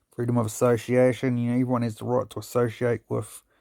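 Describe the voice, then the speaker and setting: Mumbling at a fairly quick pace, a man with a New Zealand accent speaks in a medium pitch with a dark, mellow tone. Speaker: police auditor / copwatch videographer. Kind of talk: casual explainer reading from law text.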